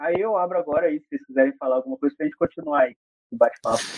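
This man has a high-pitched voice. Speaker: federal highway police officer and engineer. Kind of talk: interview explaining road safety data.

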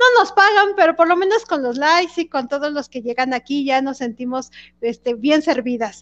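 In a Mexican accent, a woman talks at a moderate pace, her high voice full of lively intonation. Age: 40s. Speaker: podcast co-host. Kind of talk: casual chat.

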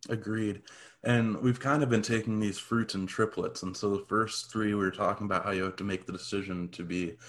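A normal speaking voice at a moderate pace, with fairly even intonation on a very clean recording with a silent background. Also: man. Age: 20s. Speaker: podcast co-host. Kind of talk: casual chat.

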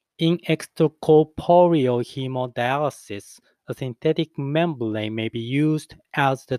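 At a fairly slow pace, a man with a non-native accent speaks at a medium pitch on a very clean recording with a silent background. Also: dry, close sound with no echo. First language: not English. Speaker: English learner practicing pronunciation. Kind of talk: reading aloud.

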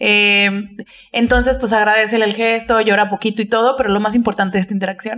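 A woman with a Mexican accent, fairly high in pitch, at a fairly quick pace. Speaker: podcast co-host. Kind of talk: casual chat. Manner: animated.

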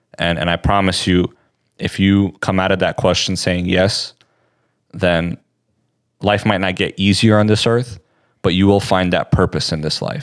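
A man speaks at a moderate pace in a very deep, low pitch with fairly even intonation and long, frequent pauses. The recording is very clean, with a silent background. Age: 20s. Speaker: Bible podcast co-host. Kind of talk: Bible study discussion.

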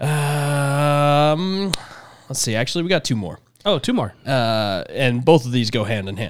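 An unremarkable speaking voice from a man, fairly high in pitch and fairly slow, with lively intonation. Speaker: podcast host. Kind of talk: casual chat.

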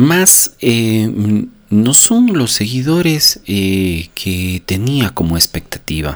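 At a very slow pace, a man with a medium-pitched voice makes very wide pitch swings. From Ecuador, Cuenca. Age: 40s. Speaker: podcaster on personal growth. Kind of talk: motivational monologue. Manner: unscripted, with frequent hesitations.

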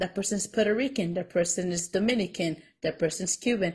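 A woman talks at a moderate pace in a somewhat breathy voice. Her pitch sits at a medium level with ordinary variation. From Mexican-American. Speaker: podcast co-host. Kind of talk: casual chat.

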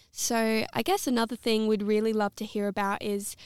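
A woman with an Australian accent speaks at a moderate pace in a medium pitch with monotone, flat intonation. The sound is dry and close with no echo, on a very clean recording with a silent background. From South Australia. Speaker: podcast co-host. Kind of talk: podcast interview.

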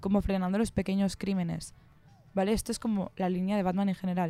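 A dark, mellow tone colors a woman's medium-pitched voice. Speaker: student radio co-host. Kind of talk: casual film discussion. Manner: animated.

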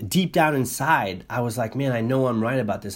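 A man is talking. His speed is moderate. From Canada and New England. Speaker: solo podcaster. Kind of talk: unscripted monologue. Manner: hesitant, many fillers.

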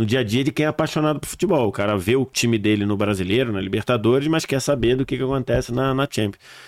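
At a very fast pace with hardly any pauses, a man speaks in a medium pitch. His pitch variation is ordinary, and the recording is very clean with a silent background. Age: 40s. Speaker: football commentator. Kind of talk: casual chat.

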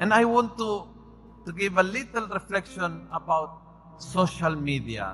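The speaker has a Spanish accent and a fairly slow pace. Pitch varies in an ordinary way. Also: man, high pitch for a man. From Argentina, provincial area. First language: Spanish (speaking Tagalog). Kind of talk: recollection talk / homily. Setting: church with audience. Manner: animated.

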